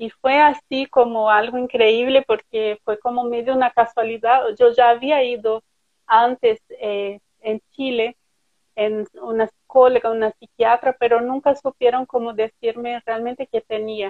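A woman with a Portuguese accent speaks at a fairly slow pace in a high, monotone, flat voice. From Brazil. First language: Portuguese (speaking Spanish). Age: 30s. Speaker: writer. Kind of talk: interview. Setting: live stream.

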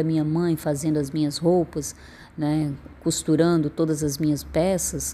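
In a dark, mellow tone and a very deep, low pitch, a woman speaks at a moderate pace with fairly even intonation. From Northeast Brazil (Piauí). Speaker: poet and performer. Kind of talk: personal storytelling monologue.

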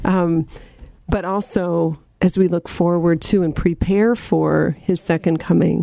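An unremarkable speaking voice from a woman, fairly low in pitch, at a fairly slow pace, with very even loudness and fairly even intonation. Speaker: radio co-host. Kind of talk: live radio talk show. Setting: studio.

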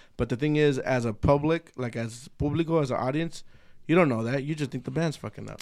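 At a fairly quick pace, a man talks in a fairly high pitch, using an ordinary speaking voice with ordinary pitch variation. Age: 30s. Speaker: podcast host. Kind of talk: casual chat. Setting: studio. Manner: casual, profane, bilingual code-switching.

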